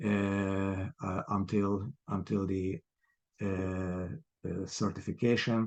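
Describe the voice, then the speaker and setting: A man with a Hungarian accent, fairly low in pitch, very slow, with fairly even intonation. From Hungary. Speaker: property developer, ex-marketing executive. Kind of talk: podcast interview. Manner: halting, many fillers.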